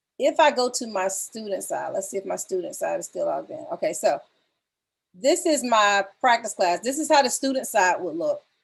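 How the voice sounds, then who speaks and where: With an American accent, a high-pitched woman makes very wide pitch swings against a quiet background. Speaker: music teacher. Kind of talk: tutorial. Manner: fast.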